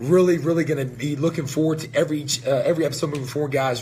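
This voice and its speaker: A somewhat breathy man talks very fast in a fairly high pitch. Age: 30s. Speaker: supplement company owner hosting a live show. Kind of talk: live stream casual talk. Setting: company headquarters, live stream. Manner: energetic.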